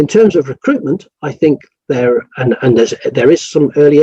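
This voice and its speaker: This man has a dark, mellow tone and ordinary pitch variation. He talks at a fairly quick pace in a dry, close sound with no echo. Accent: English. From England. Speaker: rural doctor. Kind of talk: interview. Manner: halting, many repeated words.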